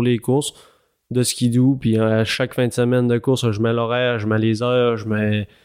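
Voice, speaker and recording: A man speaks at a medium pitch and a moderate pace. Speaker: snowmobile racer. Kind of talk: interview.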